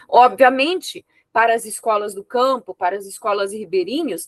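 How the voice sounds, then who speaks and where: A woman speaks at a moderate pace with lively intonation. The sound is dry and close, with no echo. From Brazil, rural interior. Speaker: thesis examiner, professor. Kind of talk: academic feedback.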